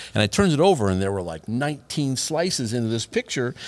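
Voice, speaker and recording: A man's medium-pitched voice, very fast with lively intonation. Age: 60s. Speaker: podcast host. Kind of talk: casual chat. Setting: studio.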